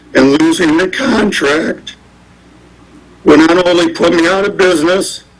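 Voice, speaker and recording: A man speaks at a fairly slow pace with a high-pitched voice over noticeable background noise. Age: 60s. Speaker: business owner making public comment. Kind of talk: public comment at council meeting. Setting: city council meeting.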